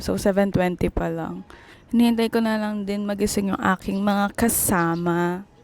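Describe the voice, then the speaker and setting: Very clean audio of a woman speaking, the background silent. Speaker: travel vlogger. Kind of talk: vlog narration. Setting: on a bus. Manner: quiet.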